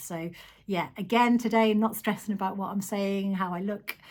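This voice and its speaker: A somewhat breathy woman, medium in pitch, at a fairly quick pace with fairly even intonation, on a very clean recording with a silent background. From Isle of Man. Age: 40s. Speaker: vlogger. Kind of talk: casual vlog monologue. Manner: hesitant, frequent ums.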